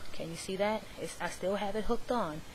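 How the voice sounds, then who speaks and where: A woman speaks at a fairly quick pace with audible room echo. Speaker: craft tutorial vlogger. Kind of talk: tutorial. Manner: fast.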